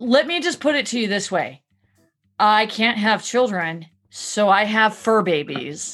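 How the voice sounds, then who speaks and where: Music in the background behind a woman's medium-pitched voice. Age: 30s. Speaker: podcast host. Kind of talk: casual chat.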